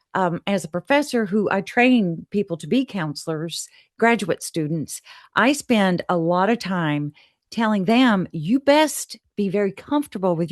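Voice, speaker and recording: The recording of a woman with a plain, everyday voice has a dry, close sound with no echo, and she speaks at a moderate pace. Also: quiet background. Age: 60s. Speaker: therapist and professor. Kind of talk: casual interview chat.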